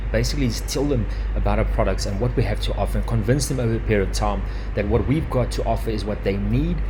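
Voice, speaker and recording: The speech is monotone, with flat intonation and a very fast pace, and there is music in the background and audible room echo. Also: man. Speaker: digital marketing webinar presenter. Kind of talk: live webinar presentation. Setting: live webinar with headset.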